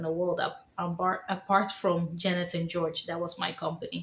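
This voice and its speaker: Speaking with a slight Dutch accent, a woman keeps a medium pitch and monotone, flat intonation at a moderate pace, with noticeable background noise. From Netherlands. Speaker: vlogger. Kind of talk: personal testimony vlog.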